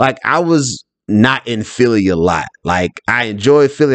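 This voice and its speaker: A man with an ordinary speaking voice in an American accent, medium pitch, lively intonation and a moderate pace, over a quiet background. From US South. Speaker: financial advisor. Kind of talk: solo podcast monologue.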